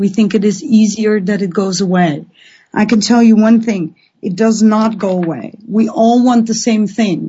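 Fairly high, somewhat breathy female speech at a moderate pace, with fairly even intonation. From Netherlands. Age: 40s. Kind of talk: live call-in radio talk.

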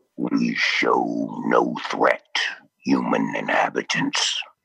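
A man uses a raspy, put-on character voice. He talks at a very slow pace.

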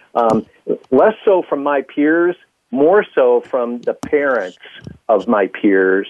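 With a Midwestern American accent, a man talks very slowly at a fairly high pitch, his voice making very wide pitch swings. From US Midwest, Fort Wayne, Indiana. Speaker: software entrepreneur. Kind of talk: radio interview.

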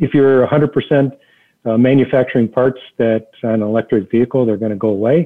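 With a normal speaking voice, a man talks at a medium pitch and a moderate pace. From Detroit area, Michigan. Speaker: automotive executive. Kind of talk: interview.

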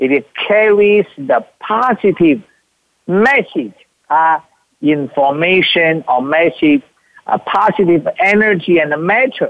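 A high-pitched man with a Chinese accent, very even loudness, very slow pace and lively intonation. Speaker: spiritual teacher. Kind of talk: teaching talk; guided meditation. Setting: live from a retreat. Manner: halting.

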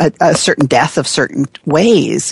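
The speaker uses a warm, enthusiastic tone with lively intonation at a fairly slow pace. Noticeable background noise runs underneath. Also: woman. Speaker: coach and storyteller. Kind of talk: casual conversational interview.

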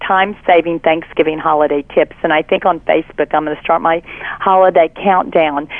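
A woman speaks in a Southern US accent at a moderate pace. Her pitch is fairly low. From Texas, Fort Worth. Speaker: cookbook author. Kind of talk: interview.

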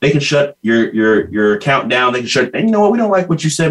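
Intonation here is lively. There is a somewhat breathy quality to the voice. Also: man. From US (California), raised in Ghanaian family. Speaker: social media entrepreneur. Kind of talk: interview.

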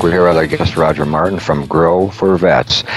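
Music in the background under a man's very deep, low voice at a fairly quick pace. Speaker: radio host. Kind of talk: radio interview.

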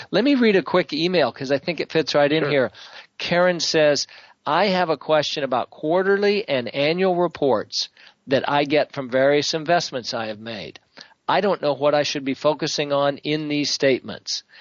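In an ordinary speaking voice, a man talks at a fairly high pitch and a moderate pace, his pitch varying in an ordinary way. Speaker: radio co-host. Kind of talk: radio talk show hosting.

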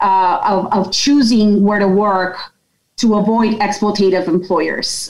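A normal speaking voice from a woman, at a fairly slow pace and with fairly even intonation. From Yonkers, New York. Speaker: company president. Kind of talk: interview, personal story.

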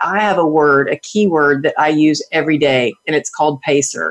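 A woman with a Texan accent speaks at a moderate pace with ordinary pitch variation. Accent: Texan Southern US. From Texas. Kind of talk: interview. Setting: video call.

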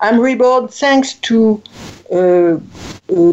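A woman speaks in a French accent. Her pitch is fairly high. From France. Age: 60s. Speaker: writer and speaker, former corporate executive. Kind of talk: interview. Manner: halting, with repetitions.

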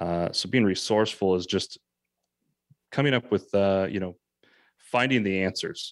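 A man talks with an American accent at a moderate pace, leaving long, frequent pauses. The recording is very clean, with a silent background. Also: fairly low pitch for a man, ordinary pitch variation, dry, close sound with no echo. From California. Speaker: real estate agent and podcast host. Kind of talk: interview.

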